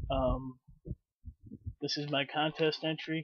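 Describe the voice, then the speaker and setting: Against a quiet background, a man with an American accent speaks in a fairly high voice with monotone, flat intonation. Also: dry sound with no echo. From Chicago, US Midwest. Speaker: YouTuber, comic book collector. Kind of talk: casual vlog. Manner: halting, many fillers. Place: home room. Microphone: webcam.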